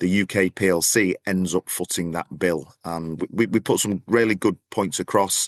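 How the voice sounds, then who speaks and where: Over a quiet background, a man with a northern English accent speaks in a very deep, low voice, the sound dry and close with no echo. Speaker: podcast co-host, business travel association representative. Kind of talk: casual chat. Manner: repeats words, halting.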